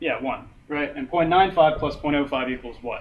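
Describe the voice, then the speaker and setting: Audible room echo surrounds a man speaking in a fairly high pitch at a moderate pace. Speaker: teaching assistant. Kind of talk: lecture.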